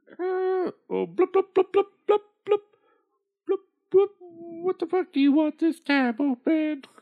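A put-on character voice sits at an extremely high pitch. It moves at a fairly slow pace with long, frequent pauses. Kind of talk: comic overacting. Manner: bubbly burbling, increasingly irritated and sarcastic.

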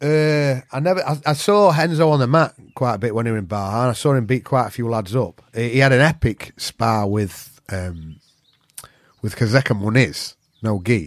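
Lively in intonation, a man with a Yorkshire accent talks at a moderate pace. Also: medium pitch for a man. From Yorkshire, northern England. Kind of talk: casual chat.

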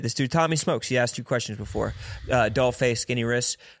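In an American accent with fairly even intonation, this is an ordinary speaking voice on a very clean recording with a silent background. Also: man. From Philadelphia. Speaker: podcast co-host. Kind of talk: casual chat.

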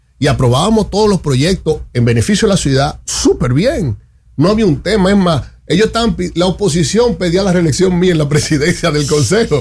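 Speaking at a fairly quick pace, a man with a fairly high pitch uses lively intonation and vocal fry, keeping his loudness very even. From Santo Domingo, Dominican Republic. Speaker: politician, parliamentary candidate. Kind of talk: radio interview. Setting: radio studio.

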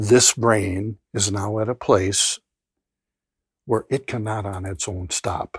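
A man speaks very slowly in a fairly low, somewhat breathy voice, leaving long, frequent pauses. His intonation stays fairly even, and the sound is dry and close with no echo. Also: very clean recording, silent background. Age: 70s. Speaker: addiction researcher and clinician. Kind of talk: interview.

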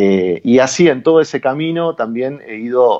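Speaking fairly slowly, a man has an Argentine accent. His pitch moves in an ordinary way. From Argentina. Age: 30s. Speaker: traveller, philosophy teacher. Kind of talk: radio interview. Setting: phone call. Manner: halting.

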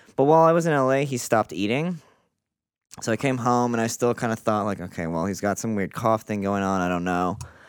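A man speaks at a fairly quick pace in a plain, everyday voice, medium in pitch with lively intonation, on a very clean recording with a silent background. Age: 30s. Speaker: artist. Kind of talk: casual chat.

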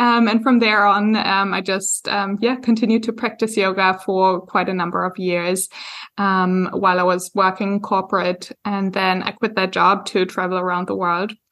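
A woman's medium-pitched voice with a German accent, monotone and flat, at a moderate pace with hardly any pauses, on a very clean recording with a silent background. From Germany. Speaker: yoga teacher and business coach. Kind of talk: interview podcast. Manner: frequent hesitations (um).

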